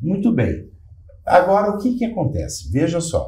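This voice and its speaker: A man speaks with vocal fry against audible room echo. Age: 60s. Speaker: physician. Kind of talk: panel discussion.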